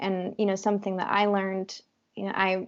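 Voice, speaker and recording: Soft-spoken, the voice moves along at a fairly quick pace. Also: woman. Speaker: wellness entrepreneur. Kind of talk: interview. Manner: halting.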